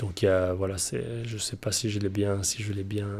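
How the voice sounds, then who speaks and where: Speaking at a moderate pace, a man uses a fairly low pitch and a dark, mellow tone with monotone, flat intonation. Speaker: motocross coach and ultra-distance cyclist. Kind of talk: interview answer. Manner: precise wording.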